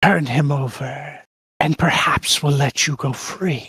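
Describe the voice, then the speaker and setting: Raspy and fairly slow, a man speaks. He is putting on a character voice. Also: fairly high pitch for a man. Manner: snarling, menacing.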